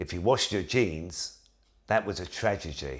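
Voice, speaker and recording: A man at a fairly slow pace, with vocal fry and very wide pitch swings. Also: very clean recording, silent background. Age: 60s. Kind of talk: casual talk to camera.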